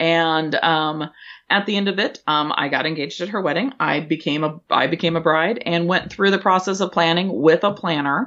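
A woman's fairly low-pitched, plain, everyday voice with an American accent, at a fairly quick pace with ordinary pitch variation. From Washington State, US. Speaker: event planner and business owner. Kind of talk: podcast interview.

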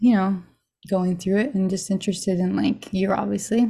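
A woman's somewhat breathy, dark, mellow voice in an American accent, medium in pitch, at a moderate pace with fairly even intonation, on a very clean recording with a silent background. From Arizona. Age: 30s. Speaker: chronic pain recovery interviewee. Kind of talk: testimony.

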